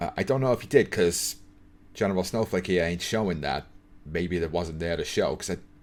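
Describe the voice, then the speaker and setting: A man with very deep, low pitch speaks at a fairly quick pace. His pitch varies in an ordinary way on a very clean recording with a silent background. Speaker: YouTuber reacting to a documentary. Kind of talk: reaction commentary. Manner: stutters when improvising on camera.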